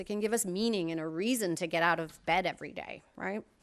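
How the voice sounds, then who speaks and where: A woman's unremarkable speaking voice with lively intonation at a moderate pace, in a very clean recording with a silent background. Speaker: wellness presenter. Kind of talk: presentation.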